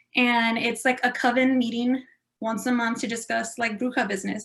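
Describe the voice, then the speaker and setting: In a South Texas accent, a woman speaks with a high pitch. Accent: South Texas Mexican-American English. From Texas, Rio Grande Valley. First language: Spanish / Spanglish. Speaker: improv performer. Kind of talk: panel discussion. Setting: video call.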